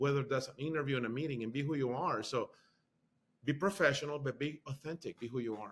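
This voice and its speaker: Speaking with a Spanish accent, the man has a fairly high pitch. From Honduras. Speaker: university marketing executive. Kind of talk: interview.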